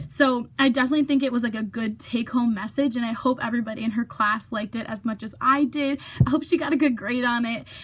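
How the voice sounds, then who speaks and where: Over noticeable background noise, a woman with a high voice rushes along at a very fast pace with hardly any pauses. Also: ordinary pitch variation. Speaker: vlogger. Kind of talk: casual vlog monologue. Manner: chatty, many fillers.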